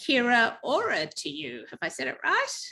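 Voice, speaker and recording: A woman with an Australian accent speaks at a fairly slow pace in a bright, sharp tone. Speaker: webinar host. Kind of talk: webinar introduction.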